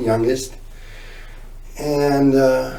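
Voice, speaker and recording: Very slow speech from a man with an American accent, with audible room echo. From northern New Jersey, near Newark. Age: 60s. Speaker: recovering addict telling his story. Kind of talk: interview testimony.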